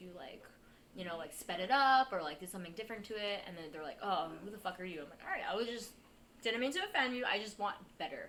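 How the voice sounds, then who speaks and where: Delivered at a very fast pace with ordinary pitch variation, the speech carries a New York accent and audible room echo. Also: woman. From Queens, New York. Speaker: stand-up comedian. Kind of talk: casual chat.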